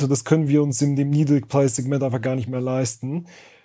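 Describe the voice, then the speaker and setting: In a very clean recording with a silent background, a man's fairly high voice carries a dark, mellow tone and a monotone, flat intonation. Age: 30s. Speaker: entrepreneur and online seller. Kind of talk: casual interview.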